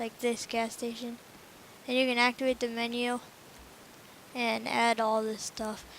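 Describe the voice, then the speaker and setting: A woman speaks in a monotone, flat way. Her pace is fairly slow, with long, frequent pauses. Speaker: gaming youtuber. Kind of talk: tutorial. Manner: halting, self-correcting; casual.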